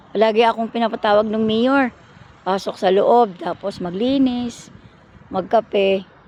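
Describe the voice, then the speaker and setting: The speaker has an ordinary speaking voice. The pace is fairly slow. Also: woman, fairly high pitch for a woman. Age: 60s. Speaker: vlogger. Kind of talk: personal storytelling. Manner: casual, rambling with fillers.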